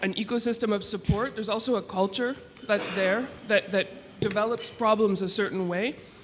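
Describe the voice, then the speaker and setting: Speaking at a moderate pace, a woman with a medium pitch and fairly even intonation has an unremarkable speaking voice. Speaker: conference attendee. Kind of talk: audience comment. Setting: conference room with audience.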